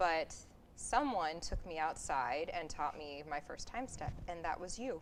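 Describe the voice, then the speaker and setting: A woman's fairly low voice with lively intonation, a fairly slow pace and audible room echo. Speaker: community theatre actor. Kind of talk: interview. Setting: theatre.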